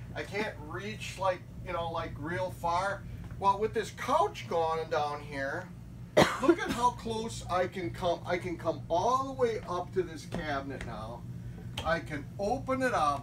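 A man talks at a fairly slow pace. There is music behind him. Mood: joking banter. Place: home room. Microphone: phone near.

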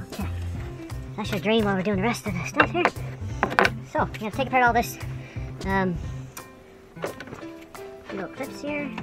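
Clear background music behind a man speaking at a fairly quick pace, with a dry sound and no echo. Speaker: home mechanic. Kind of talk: DIY repair tutorial narration. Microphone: camera far.

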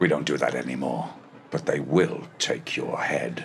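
A man at a moderate pace amid clear background noise. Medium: fan dub. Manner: sly, mocking.

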